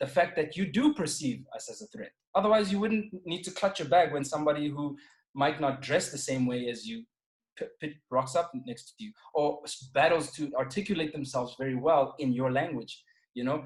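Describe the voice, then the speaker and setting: Speaking at a moderate pace, a man with a South African accent sounds somewhat breathy, his pitch fairly high. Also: ordinary pitch variation, big swings in loudness. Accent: South African accent, less typical than most. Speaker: podcast guest. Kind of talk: casual chat.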